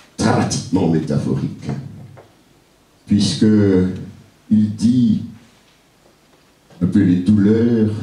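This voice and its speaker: A man with a fairly low pitch speaks at a very slow pace, taking long, frequent pauses against noticeable background noise. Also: ordinary pitch variation. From Martinique. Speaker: poet-griot, performer. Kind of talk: spoken introduction to a live audience.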